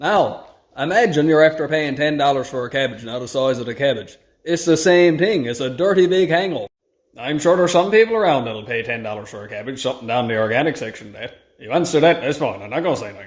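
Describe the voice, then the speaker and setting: A man with a fairly high pitch and a Newfoundland accent, very fast pace, lively intonation and big swings in loudness. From Newfoundland, Canada. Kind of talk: casual talk to camera.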